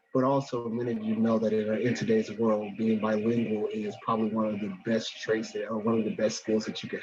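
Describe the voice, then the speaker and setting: Over noticeable background noise, a man talks in a monotone, flat intonation at a medium pitch. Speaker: elementary school principal. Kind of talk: community presentation.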